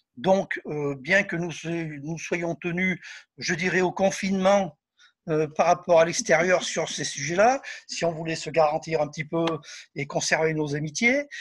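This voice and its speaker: In a very clean recording with a silent background, a man with a high voice and ordinary pitch variation speaks with long, frequent pauses. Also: fairly slow pace. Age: 60s. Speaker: spiritist medium and author. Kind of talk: interview. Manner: hesitant with fillers.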